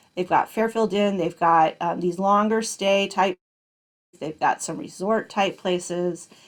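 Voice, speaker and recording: This is a plain, everyday voice. The delivery is fairly slow with fairly even intonation. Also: woman, medium pitch for a woman. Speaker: business workshop presenter. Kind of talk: online workshop lecture.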